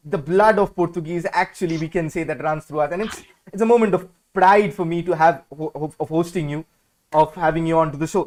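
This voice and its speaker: In an Indian accent, a man speaks at a high pitch in an excited tone. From India, Kolkata. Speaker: football podcast host. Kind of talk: live video podcast interview. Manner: excited, stumbling.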